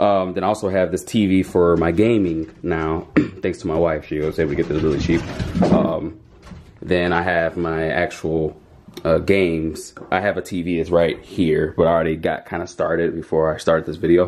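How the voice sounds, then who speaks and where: Against light background noise, a man with a very deep, low voice talks at a moderate pace in a flat monotone. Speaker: vlogger. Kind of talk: casual vlog chat. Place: home room. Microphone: phone near.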